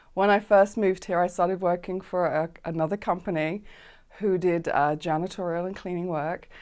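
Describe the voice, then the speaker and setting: On a very clean recording with a silent background, a woman in a London accent talks at a fairly quick pace and medium pitch with ordinary pitch variation. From South London, England. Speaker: business owner. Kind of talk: interview. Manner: hesitant with fillers.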